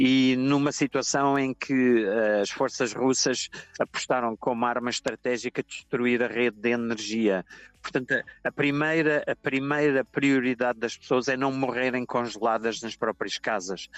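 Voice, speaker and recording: With a dry, close sound and no echo, a man of medium pitch speaks at a fairly slow pace with fairly even intonation in an unremarkable speaking voice. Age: 60s. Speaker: journalist. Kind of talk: interview.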